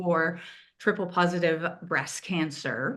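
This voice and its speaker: A woman speaks in a Quebec accent at a fairly slow pace. The background is quiet. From Quebec, Montreal. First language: French. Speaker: patient advocate and co-chair. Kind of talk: event moderation.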